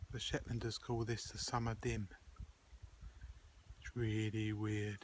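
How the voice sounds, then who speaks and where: Here a man speaks at a fairly low pitch and a fairly slow pace. His voice is somewhat breathy, with monotone, flat intonation. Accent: English. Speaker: video diarist. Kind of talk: video diary. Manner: whispering.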